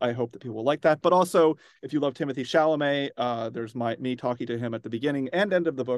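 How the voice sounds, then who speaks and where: Against a quiet background, a man talks at a fairly quick pace with a dry, close sound and no echo. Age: 40s. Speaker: author. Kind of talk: interview. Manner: halting, many fillers.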